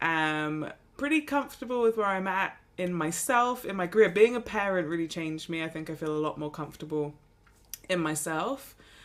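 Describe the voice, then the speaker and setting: Speaking with an English accent, a woman uses lively intonation at a moderate pace on a very clean recording with a silent background. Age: 30s. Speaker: golf podcast co-host. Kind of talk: casual chat.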